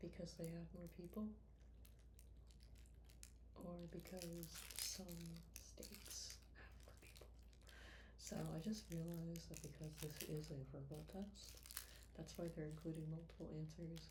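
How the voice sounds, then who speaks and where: Soft-spoken and relaxed in tone, a woman talks at a fairly slow pace with long, frequent pauses. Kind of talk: ASMR soft-spoken talk to camera. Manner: soft-spoken, slow, relaxed.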